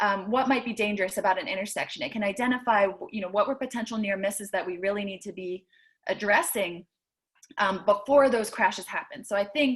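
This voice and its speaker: A woman speaks fairly quickly in a somewhat breathy voice, her medium pitch showing ordinary variation. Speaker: city traffic safety planner. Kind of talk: panel presentation. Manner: fast.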